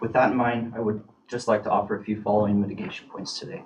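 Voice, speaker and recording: A man speaks very fast with a fairly low pitch and an American accent. Background noise is noticeable. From Oregon, US. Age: 30s. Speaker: police officer. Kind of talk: formal statement at a hearing. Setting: public committee meeting. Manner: formal.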